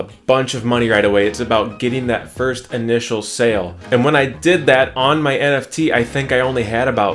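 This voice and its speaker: There is faint music in the background as a man speaks at a fairly quick pace. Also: ordinary pitch variation. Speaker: NFT artist vlogger. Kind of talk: casual vlog chat. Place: home room.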